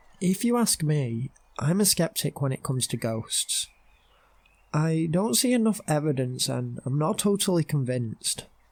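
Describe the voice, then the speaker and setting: With a British accent, a man talks at a moderate pace, his pitch swinging very widely, in a dry, close recording with no echo. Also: fairly high pitch for a man. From United Kingdom. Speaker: storyteller. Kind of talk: horror story narration.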